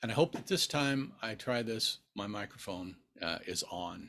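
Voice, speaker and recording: Speaking in an American accent, a man has a relaxed tone. His intonation is lively. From Nebraska, US Midwest. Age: 60s. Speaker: book YouTuber. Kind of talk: casual vlog Q&A. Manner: relaxed, with frequent fillers.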